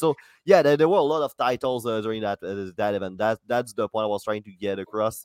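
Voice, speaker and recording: Recorded very cleanly with a silent background, a man at a medium pitch sounds dry and close, with no echo. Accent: French. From France. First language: French. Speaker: comedian and podcast co-host. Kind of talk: casual chat.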